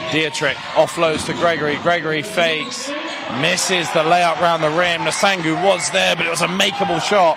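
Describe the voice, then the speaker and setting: An English accent with fairly even intonation, heard through audible room echo and noticeable background noise. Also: man, high pitch for a man. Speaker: basketball commentator. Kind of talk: live commentary. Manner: fast; loud.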